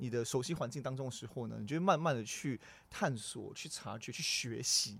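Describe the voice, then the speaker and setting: A man at a medium pitch and a moderate pace, with ordinary pitch variation. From Singapore. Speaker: company general manager. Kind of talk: interview. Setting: studio. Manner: halting, repeats words.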